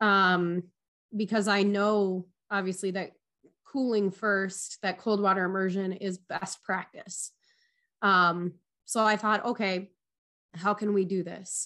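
Against a quiet background, a woman with a Minnesotan accent speaks at a medium pitch in a bright, sharp tone, with monotone, flat intonation, at a very slow pace with long, frequent pauses. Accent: Minnesotan, long O's. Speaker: athletic trainer and EMT. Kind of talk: interview conversation.

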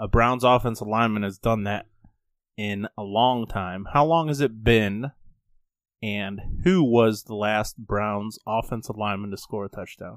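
A normal speaking voice at a fairly slow pace, with ordinary pitch variation and big swings in loudness. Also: man, fairly low pitch for a man. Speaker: podcast co-host. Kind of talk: casual sports talk podcast.

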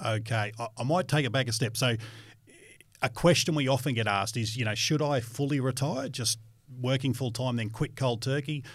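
At a fairly quick pace, a man with an Australian accent speaks in a somewhat breathy voice at medium pitch with fairly even intonation. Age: 40s. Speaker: financial educator. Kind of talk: educational podcast chat.

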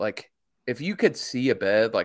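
A man talks in an unremarkable speaking voice at medium pitch and a moderate pace. The recording is very clean with a silent background. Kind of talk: casual chat.

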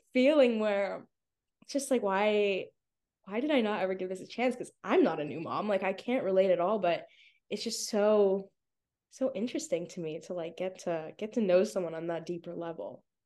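A woman's normal speaking voice at a medium pitch and moderate pace, with lively intonation. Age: 20s. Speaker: social media content creator. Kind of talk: podcast interview.

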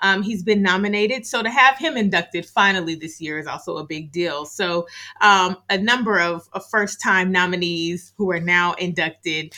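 With an American accent and a medium pitch, a woman speaks at a moderate pace in a bright, sharp tone, her loudness swinging widely and her pitch varying normally, on a very clean recording with a silent background. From California. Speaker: museum curator. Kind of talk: interview.

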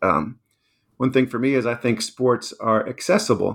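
In a very clean recording with a silent background, a man with an American accent speaks in a normal speaking voice at medium pitch, moderate pace and ordinary pitch variation. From Washington, D.C. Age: 50s. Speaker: author. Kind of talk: interview.

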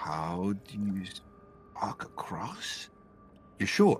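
A man in a put-on character voice at a very slow pace, with clear background noise. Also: fairly low pitch for a man. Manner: dry, wry, then urgent.

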